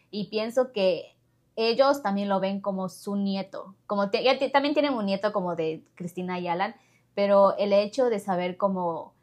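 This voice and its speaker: A normal speaking voice from a woman, medium in pitch, with ordinary pitch variation and a fairly slow pace. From Ecuador. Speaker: podcast host. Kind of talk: casual interview.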